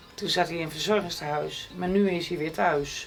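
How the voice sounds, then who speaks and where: A woman with a fairly low pitch speaks with fairly even intonation over music in the background. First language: not Frisian speaker; speaks Dutch (speaking Dutch). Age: 60s. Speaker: interviewee, wife and carer. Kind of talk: casual chat.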